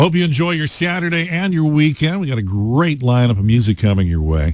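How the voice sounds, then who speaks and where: In an American accent, the speaker moves at a fairly quick pace with very wide pitch swings. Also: man, fairly high pitch for a man. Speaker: classic rock radio host. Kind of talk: radio show host talk between songs. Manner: casual, chatty, conversational.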